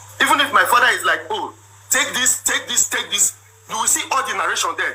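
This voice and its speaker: A man's extremely high-pitched voice with very wide pitch swings, amid noticeable background noise. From Nigeria (Igbo). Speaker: businessman telling his side of a marriage dispute. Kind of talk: personal testimony. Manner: animated.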